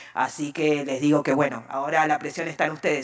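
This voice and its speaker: A woman with a very deep, low pitch talks at a fairly quick pace in monotone, flat intonation over noticeable background noise. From Argentina. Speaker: civil society panelist. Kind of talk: conference talk.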